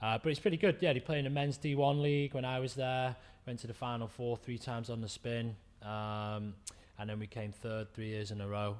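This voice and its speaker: Fairly quick speech from a man with an English accent. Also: medium pitch for a man, ordinary pitch variation. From England. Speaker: chiropractor, former rugby player. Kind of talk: podcast interview. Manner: casual.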